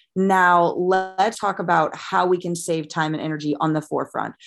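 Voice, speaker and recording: With an American accent, a woman speaks in a fairly low pitch and fairly even intonation, captured in a very clean recording with a silent background. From US Midwest, St. Louis, Missouri. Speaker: dietitian and wellness coach. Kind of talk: podcast interview.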